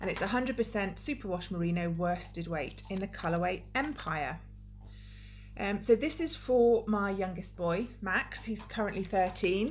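Light background noise sits behind the speech. The pace is fairly slow. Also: woman. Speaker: knitting video podcaster. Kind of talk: casual vlog chat. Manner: hesitant with frequent ums. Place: home room. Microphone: phone near.

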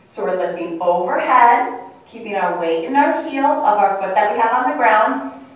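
A fairly high-pitched woman at a moderate pace, her pitch swinging very widely, in strong room echo. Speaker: fitness instructor. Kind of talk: tutorial. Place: gym. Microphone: camera far.

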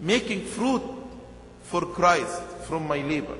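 In a room with audible echo and light background noise, a man speaks at a very slow pace. His high pitch shows ordinary variation. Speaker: bishop. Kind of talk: sermon. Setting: church. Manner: earnest, rhythmic preaching; repeats key phrases for emphasis. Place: church. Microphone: podium.

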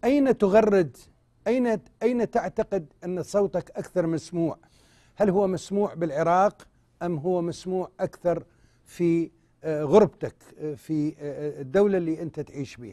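Over a quiet background, a man with an Iraqi accent speaks at a fairly slow pace in a high pitch, his dark, mellow tone showing ordinary pitch variation and big swings in loudness. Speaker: TV host. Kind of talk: live TV talk show. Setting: studio. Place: studio.

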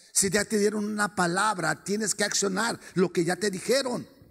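A man with a high pitch, at a moderate pace. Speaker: preacher. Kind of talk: sermon. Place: stage. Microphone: handheld.

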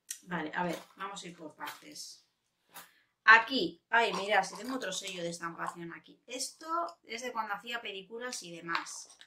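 A woman talks in an animated tone at a moderate pace, with ordinary pitch variation and big swings in loudness. Noticeable background noise is present. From Spain. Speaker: beauty youtuber. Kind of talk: casual vlog chat.

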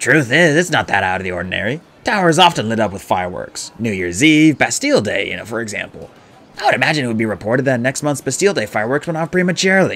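Putting on a character voice, a man speaks fast with big pitch swings, a fairly bright tone and vocal fry. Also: medium pitch for a man.

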